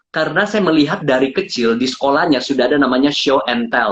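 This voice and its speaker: A fairly high-pitched man with lively intonation at a fairly quick pace. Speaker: public speaking coach. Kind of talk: interview on live stream. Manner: animated.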